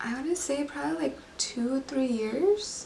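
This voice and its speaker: Very slowly, a woman talks while noticeable background noise continues. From born in Mexico, raised in US from age five. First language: Spanish. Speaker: beauty vlogger. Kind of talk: casual personal storytelling.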